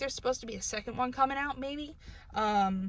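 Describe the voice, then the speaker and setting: A woman with a northern US accent talks at a fairly quick pace, her pitch varying in an ordinary way. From New England, US. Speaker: book reviewer. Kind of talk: casual vlog review. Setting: in a car. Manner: casual, many fillers.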